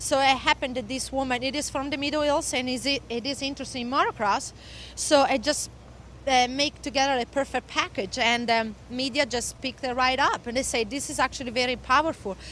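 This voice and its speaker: A woman with an Italian accent, high-pitched, at a fairly quick pace with fairly even intonation. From Italy. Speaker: motocross instructor and former pro racer. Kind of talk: interview. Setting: at a race venue. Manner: halting.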